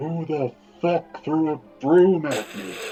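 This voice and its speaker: A booming, put-on character voice speaks at a middle pitch and a fairly slow pace. Faint music plays in the background. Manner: angry, shouting.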